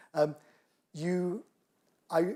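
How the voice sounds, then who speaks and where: This man has a British accent and a dark, mellow tone. The recording is very clean, with a silent background. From United Kingdom. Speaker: engineering professor. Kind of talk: lecture Q&A.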